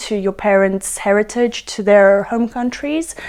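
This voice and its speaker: A woman with a British accent speaks at a fairly slow pace, her fairly high voice moving with ordinary pitch variation. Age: young. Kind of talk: interview answer.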